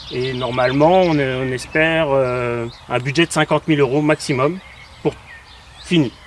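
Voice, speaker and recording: A man with a fairly high pitch talks at a fairly slow pace with fairly even intonation and long, frequent pauses. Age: 40s. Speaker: graphic designer, travelling family father. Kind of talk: casual interview.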